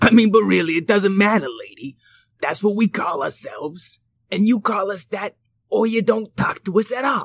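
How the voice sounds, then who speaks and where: A put-on character voice pitched fairly high. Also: moderate pace. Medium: read story. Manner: gruff, complaining.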